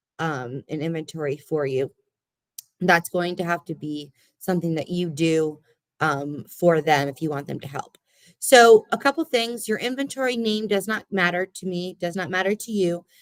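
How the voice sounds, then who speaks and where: A woman's lively intonation at a fairly low pitch, in a dry, close sound with no echo. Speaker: library services trainer. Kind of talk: online training session. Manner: fast.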